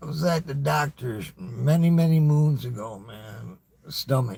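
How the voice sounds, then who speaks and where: A man speaks at a fairly slow pace in a fairly high pitch, his tone dark and mellow. His intonation is lively and his voice somewhat breathy. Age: 60s. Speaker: YouTuber livestreamer. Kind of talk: casual monologue livestream. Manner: halting, repetitive stammering; casual, profane.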